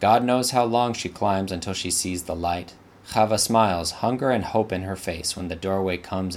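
The pitch moves in an ordinary way. The text is read aloud plainly.

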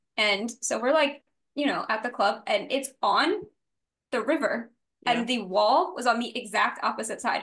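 In an American accent, a woman speaks at a moderate pace with a high pitch and lively intonation. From US South, New Orleans. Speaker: podcast co-host. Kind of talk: casual chat.

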